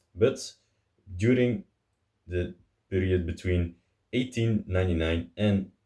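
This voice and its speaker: A man's very deep, low voice, somewhat breathy and dark and mellow in tone, with fairly even intonation at a fairly slow pace. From Belgium. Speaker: car video host. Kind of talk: informative talk to camera. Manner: casual with some hesitations.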